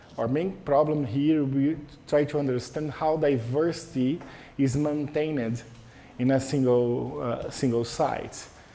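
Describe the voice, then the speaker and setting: With a Portuguese accent, a man speaks fairly slowly at a fairly high pitch, his tone dark and mellow and his intonation fairly even, with audible room echo. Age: 40s. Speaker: professor. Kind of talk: lecture. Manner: halting.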